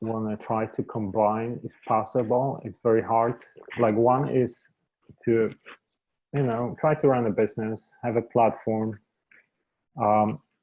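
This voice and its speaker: A man with a non-native accent speaks at a fairly slow pace in a medium pitch. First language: not English. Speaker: media entrepreneur. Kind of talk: interview conversation.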